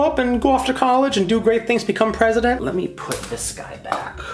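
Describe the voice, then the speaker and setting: An animated, high-pitched male voice at a fairly quick pace, with audible room echo and noticeable background noise. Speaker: plant content creator. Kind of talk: casual plant haul vlog.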